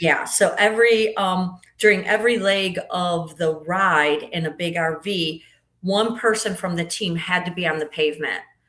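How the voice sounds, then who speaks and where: A woman speaks in an ordinary speaking voice at a medium pitch. Her intonation is fairly even and her pace is moderate. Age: 60s. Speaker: podcast guest. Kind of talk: casual interview chat.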